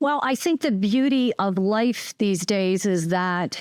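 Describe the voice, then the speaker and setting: A woman speaks at a medium pitch with lively intonation in a normal speaking voice. The sound is dry and close with no echo, over a quiet background. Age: 50s. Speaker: podcast host. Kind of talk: casual chat.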